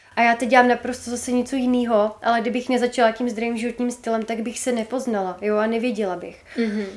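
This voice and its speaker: Speaking at a very fast pace with hardly any pauses, a woman talks in a fairly high, monotone, flat voice over noticeable background noise. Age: 20s. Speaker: entrepreneur and social media creator. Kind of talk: podcast interview.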